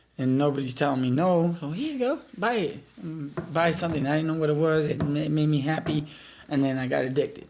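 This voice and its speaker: With a Spanish accent, a man talks at a fairly quick pace in a fairly high pitch with ordinary pitch variation. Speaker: rescue mission resident sharing his life story. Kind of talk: testimony interview. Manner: halting.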